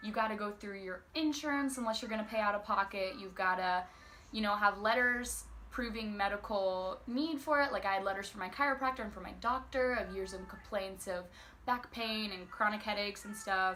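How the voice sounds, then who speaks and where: A woman with a normal speaking voice at medium pitch talks at a fairly quick pace, her loudness swinging widely. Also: ordinary pitch variation. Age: young. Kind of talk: casual talk to camera.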